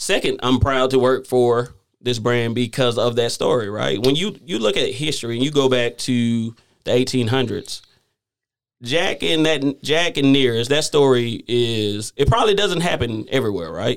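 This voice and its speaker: On a very clean recording with a silent background, a man with a Southern US accent talks at a medium pitch and moderate pace, with ordinary pitch variation. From US South. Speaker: whiskey company manager. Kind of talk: casual interview.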